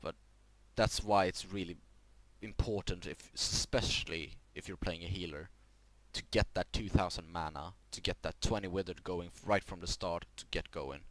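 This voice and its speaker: A man's very deep, low voice, fairly even in intonation, with big swings in loudness. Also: moderate pace. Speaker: gaming youtuber. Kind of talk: tutorial. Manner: halting, self-correcting.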